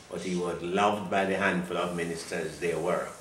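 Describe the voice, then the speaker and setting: A man's voice comes with noticeable background noise. Audible room echo surrounds it. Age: 80s+. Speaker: retired pastor. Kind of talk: interview.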